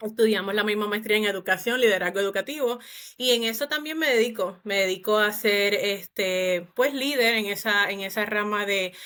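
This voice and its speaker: A woman with a Puerto Rican accent talks at a fairly quick pace. Her medium-pitched voice has a bright, sharp tone. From Puerto Rico. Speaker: psychologist. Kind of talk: podcast interview.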